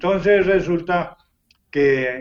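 A man's voice with ordinary pitch variation. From Colombia. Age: 80s+. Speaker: retired professional wrestler. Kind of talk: interview.

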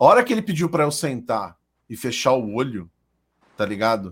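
In a very clean recording with a silent background, a man with a plain, everyday voice talks at a moderate pace, his medium pitch carrying lively intonation. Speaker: streamer. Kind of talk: casual chat. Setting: live stream.

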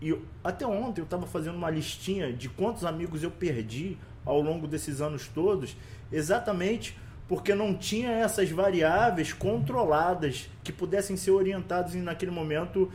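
The man's voice sits high in pitch and varies in an ordinary way. Audible room echo surrounds it. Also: moderate pace. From Rio de Janeiro West Zone favela, Brazil. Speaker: social project leader and coach. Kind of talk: casual interview.

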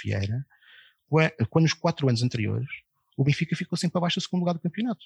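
Against a quiet background, a man speaks with lively intonation and a somewhat breathy quality, the sound dry and close with no echo. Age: 40s. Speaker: football club election campaigner. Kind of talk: casual chat.

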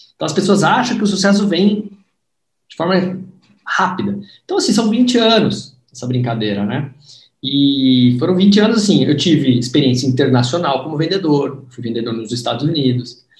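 This man's voice sits at a fairly high pitch. It shows very wide pitch swings and big swings in loudness. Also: moderate pace. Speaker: sales trainer and book author. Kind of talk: book launch livestream interview. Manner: animated.

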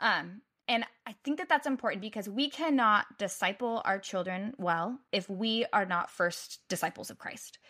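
An animated, bright and sharp voice with an American accent, moderate pace and lively intonation on a very clean recording with a silent background. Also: woman, fairly high pitch for a woman. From United States. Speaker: website designer and mother. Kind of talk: casual chat.

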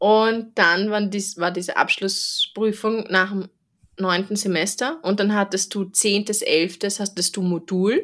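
A plain, everyday voice from a woman at medium pitch, fairly slow and with fairly even intonation, in a very clean recording with a silent background. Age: 30s. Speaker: veterinarian, podcast host. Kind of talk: casual chat.

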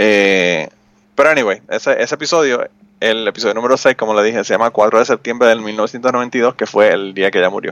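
A man's medium-pitched speech with a Puerto Rican accent, at a moderate pace with ordinary pitch variation and a dry, close sound with no echo. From Puerto Rico, Utuado. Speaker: podcaster. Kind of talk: casual chat.

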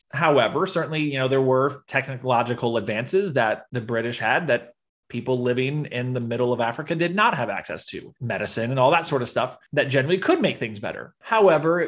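Medium-pitched male speech at a fairly quick pace, hardly any pauses, ordinary pitch variation, and a quiet background. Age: 30s. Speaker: podcast host, storyteller. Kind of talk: storytelling chat. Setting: video call. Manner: timbre changes when telling story.

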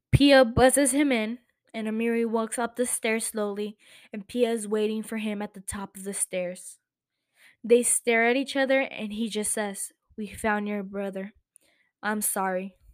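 A fairly high-pitched woman speaks at a moderate pace with big swings in loudness in a very clean recording with a silent background. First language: not English. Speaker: podcast host. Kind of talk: casual chat about TV shows. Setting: home recording. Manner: animated.

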